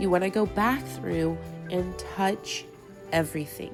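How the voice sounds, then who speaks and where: With music playing in the background, the speech unfolds at a fairly slow pace. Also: woman. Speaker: mom vlogger. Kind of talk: cleaning tutorial voice-over.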